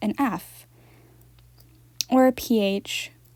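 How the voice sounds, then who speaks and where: A woman speaks in a fairly high, somewhat breathy voice with a dark, mellow tone. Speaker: doll collector vlogger. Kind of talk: casual chat. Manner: fast.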